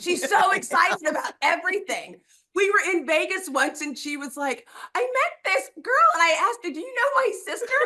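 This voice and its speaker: A woman's extremely high, bright and sharp voice, raised and projected, at a moderate pace with very wide pitch swings and big swings in loudness. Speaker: reality TV contestant, younger sister. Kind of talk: exit interview answer.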